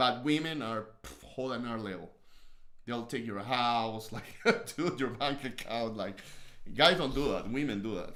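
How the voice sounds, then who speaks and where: With a strong Peruvian accent and a bright, sharp tone, a man speaks at a moderate pace and medium pitch, using ordinary pitch variation, with audible room echo in the recording. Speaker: host's husband, podcast co-host. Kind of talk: casual chat. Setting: livestream.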